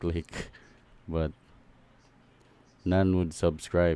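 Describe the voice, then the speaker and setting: A man's very deep, low voice, dark and mellow, in a monotone, flat delivery at a very slow pace. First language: not English. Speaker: gaming YouTuber reacting to a preview. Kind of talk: casual reaction commentary. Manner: halting.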